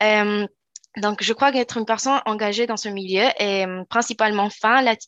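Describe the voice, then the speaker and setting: In a Spanish accent, a woman with a fairly high pitch and a bright, sharp tone speaks at a moderate pace in a monotone, flat intonation, with a dry, close sound, no echo and a quiet background. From Chile, Valparaíso. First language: Spanish (speaking French). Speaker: law student and youth ambassador. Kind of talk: interview.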